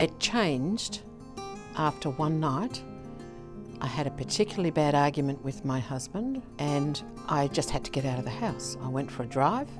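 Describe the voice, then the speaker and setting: Over music in the background, the speaker moves at a moderate pace with lively intonation. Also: woman, very deep, low pitch for a woman. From Melbourne, Australia. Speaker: retired businesswoman, gambling harm lived experience advocate. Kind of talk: interview answer.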